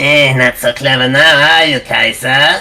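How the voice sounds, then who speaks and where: A put-on character voice at low-to-middle pitch and moderate pace comes over music in the background. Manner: taunting.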